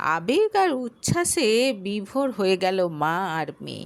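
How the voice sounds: The speech moves at a slow pace with big swings in pitch. Vocal fry runs through the voice. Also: woman, medium pitch for a woman.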